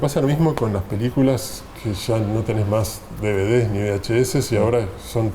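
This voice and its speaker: A man speaks at a moderate pace, his pitch medium with ordinary variation. Noticeable background noise and audible room echo surround him. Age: 60s. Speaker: film director and writer. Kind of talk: interview conversation. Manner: hesitant, with fillers.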